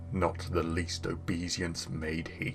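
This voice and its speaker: Using a put-on character voice, a man talks at a fairly slow pace in a very deep, low pitch, with clear background noise behind him. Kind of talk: dramatic poetry reading.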